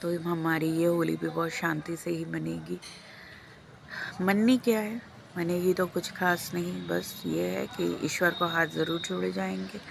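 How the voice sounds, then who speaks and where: A woman with a Bengali accent, over noticeable background noise. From Lucknow, India. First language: Bengali (speaking Hindi). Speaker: vlogger. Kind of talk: casual vlog talk.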